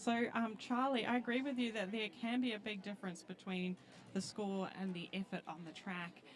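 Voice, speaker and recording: Over noticeable background noise, a woman with a New Zealand accent speaks with ordinary pitch variation. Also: medium pitch for a woman, moderate pace. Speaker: roller derby commentator. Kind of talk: live commentary.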